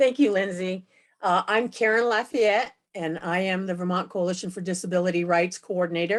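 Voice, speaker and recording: In a normal speaking voice, a woman talks at a fairly quick pace with medium pitch and ordinary pitch variation over a quiet background. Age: 60s. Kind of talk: event moderation. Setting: video call.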